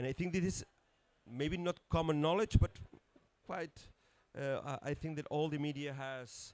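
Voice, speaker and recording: A man speaks with a Catalan accent in a fairly high voice. The sound is dry and close with no echo, and his pitch varies in an ordinary way. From Catalonia, Spain. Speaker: city network leader, environmentalist. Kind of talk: conference panel talk. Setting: conference pavilion with audience. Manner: halting.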